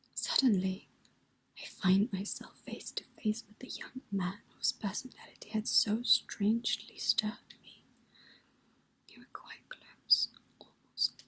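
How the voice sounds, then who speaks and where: The speaker whispers at a fairly slow pace. The voice is soft-spoken. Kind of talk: read story. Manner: whispered.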